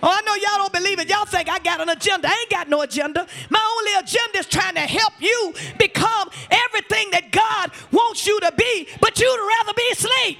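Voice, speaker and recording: Over music in the background, a man with an extremely high pitch speaks at a fairly quick pace in a raised, projected voice, animated in tone, with ordinary pitch variation. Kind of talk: sermon. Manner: animated, call-and-response preaching, urging the congregation to repeat after her; emphatic, building intensity with repeated words and exhortations.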